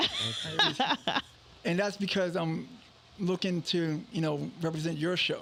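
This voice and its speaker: Over noticeable background noise, a man with a high pitch talks at a fairly slow pace with ordinary pitch variation and long, frequent pauses. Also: very even loudness. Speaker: entrepreneur and radio station owner. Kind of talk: interview, telling his story. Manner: casual, halting with repetitions.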